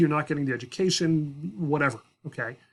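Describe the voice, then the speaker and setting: A man talks at a fairly quick pace in a quiet setting. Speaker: high school history teacher. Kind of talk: tutorial. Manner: fast; casual with fillers.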